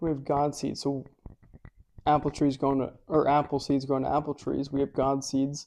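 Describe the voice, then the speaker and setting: In a dark, mellow tone, a man talks at a moderate pace and fairly high pitch with monotone, flat intonation. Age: young. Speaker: grandson asking questions. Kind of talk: casual interview. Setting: live stream at home with in-person viewers.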